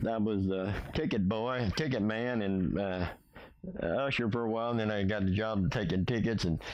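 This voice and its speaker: A man with an American accent, fairly low in pitch with ordinary pitch variation, amid audible room echo and noticeable background noise. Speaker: retiree recounting life story. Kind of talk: personal life story interview. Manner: halting, many fillers.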